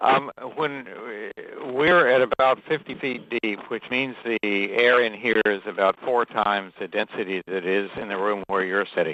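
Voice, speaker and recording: A man speaks at a fairly low pitch and a moderate pace, with ordinary pitch variation. The sound is dry and close with no echo, though background noise is noticeable. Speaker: aquanaut scientist in undersea habitat. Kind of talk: live Q&A link-up. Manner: hesitant, many fillers.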